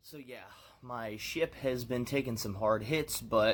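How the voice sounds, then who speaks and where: With an ordinary speaking voice, a man talks fairly slowly at a medium pitch, using ordinary pitch variation. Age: 30s. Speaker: vlogger. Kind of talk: personal vlog monologue. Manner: casual, reflective.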